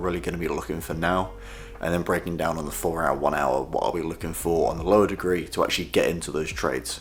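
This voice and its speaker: A man with a British accent, very deep and low in pitch, very fast, with ordinary pitch variation, audible room echo and noticeable background noise. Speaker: trading vlogger. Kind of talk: casual vlog. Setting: at home.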